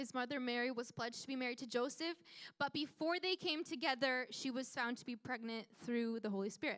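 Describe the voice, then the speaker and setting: A woman's raised, projected voice, high-pitched with a bright, sharp tone. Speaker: youth pastor. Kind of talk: sermon. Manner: fast; casual.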